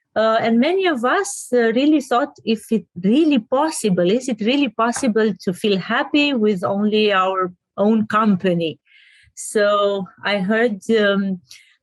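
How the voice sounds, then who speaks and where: A woman with a Romanian accent talks at a fairly slow pace and fairly high pitch with lively intonation, in a very clean recording with a silent background and a dry, close sound with no echo. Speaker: interviewer. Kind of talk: interview. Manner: hesitant, with frequent fillers.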